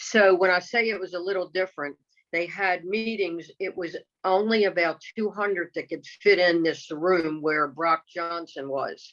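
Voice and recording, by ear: Speaking at a fairly slow pace, a woman has a fairly low pitch, a fairly bright tone and fairly even intonation.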